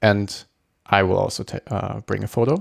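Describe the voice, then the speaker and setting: Recorded with a dry, close sound and no echo, the man has a fairly low pitch and a German accent. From Germany. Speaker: podcast host. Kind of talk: casual solo intro. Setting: home recording. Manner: halting, filler-heavy.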